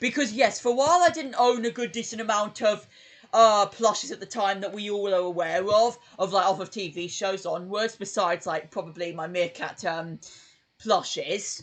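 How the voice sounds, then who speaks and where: In a British accent, the speaker goes at a moderate pace over a quiet background. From UK. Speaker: YouTuber streaming live. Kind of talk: casual live stream chat. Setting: live stream. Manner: hesitant, many fillers.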